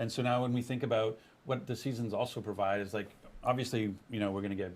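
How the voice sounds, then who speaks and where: A man at a very fast pace, medium in pitch, with fairly even intonation. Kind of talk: panel discussion.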